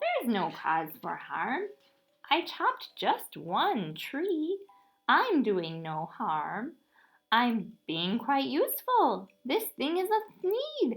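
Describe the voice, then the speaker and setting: A woman's high-pitched, put-on character voice at a very slow pace. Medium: read story. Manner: boastful.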